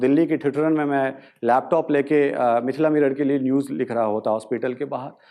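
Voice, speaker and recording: A man's fairly high voice with a dark, mellow tone, ordinary pitch variation and a moderate pace against a quiet background. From Madhubani, Bihar. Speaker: journalist, news portal founder. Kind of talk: motivational talk.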